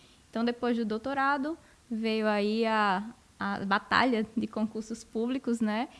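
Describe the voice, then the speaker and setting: With a northeastern Brazilian accent, a woman speaks fairly slowly at a fairly high pitch and with fairly even intonation, on a very clean recording with a silent background. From Brazil, northeast (Rio Grande do Norte). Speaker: university professor of animal science. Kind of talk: podcast interview.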